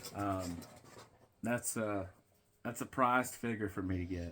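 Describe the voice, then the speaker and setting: A man talks at a fairly slow pace in a Tennessee accent. His pitch varies ordinarily. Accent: Southern US (Tennessee). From US South, Tennessee. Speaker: wrestling vlogger. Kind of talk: casual unboxing vlog.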